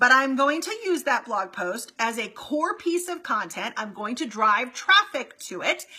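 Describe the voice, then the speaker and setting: Raising and projecting her voice, a woman talks in an animated tone with very wide pitch swings and hardly any pauses. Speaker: marketing coach for real estate agents. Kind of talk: live stream Q&A. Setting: Facebook live stream. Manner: fast.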